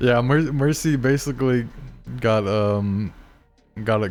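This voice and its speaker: A man speaks with music playing in the background. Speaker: tournament organizer and streamer. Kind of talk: casual stream chat during tournament break. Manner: halting, frequent repetitions and fillers.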